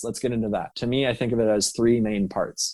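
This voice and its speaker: A man with a medium-pitched, dark and mellow voice speaks with an American accent on a very clean recording with a silent background. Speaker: accent coach. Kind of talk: podcast interview answer.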